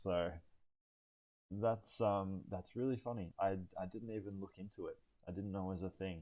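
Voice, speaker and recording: A man with an Australian accent speaks at a moderate pace in a fairly low pitch. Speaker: van build youtuber. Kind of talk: live stream Q&A. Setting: live stream. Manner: calm; hesitant, many fillers.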